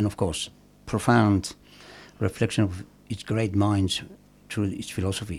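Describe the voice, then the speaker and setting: In a fairly low, somewhat breathy voice, a man talks at a fairly slow pace with long, frequent pauses and flat, monotone intonation, on a very clean recording with a silent background. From Iran, Khorramshahr. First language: Persian. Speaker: poet. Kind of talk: interview with poetry reading.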